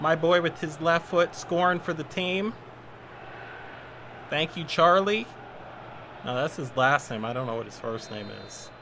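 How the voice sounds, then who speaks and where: A man with an American accent and a fairly high pitch, at a fairly slow pace with long, frequent pauses, lively intonation, big swings in loudness, and noticeable background noise. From US West Coast. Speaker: gaming streamer. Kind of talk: live gameplay commentary. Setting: live stream. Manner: casual, conversational.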